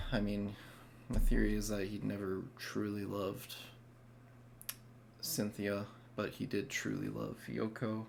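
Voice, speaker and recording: A man speaks at a fairly slow pace, with long, frequent pauses. Audible room echo surrounds his voice. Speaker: music reaction youtuber. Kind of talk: casual reaction commentary. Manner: halting, many fillers.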